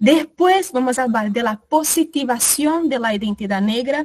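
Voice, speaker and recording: A woman speaks with lively intonation and a somewhat breathy quality in a dry, close sound with no echo. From Brazil. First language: Portuguese (speaking Spanish). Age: 20s. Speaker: workshop facilitator. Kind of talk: online workshop talk.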